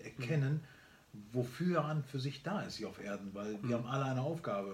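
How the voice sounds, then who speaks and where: There is audible room echo around this voice. A man talks at a fairly quick pace with a medium pitch. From Germany, born in Barcelona. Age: 50s. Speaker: entrepreneur and speaker. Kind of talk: casual interview chat. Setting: on a farm, filmed on camera.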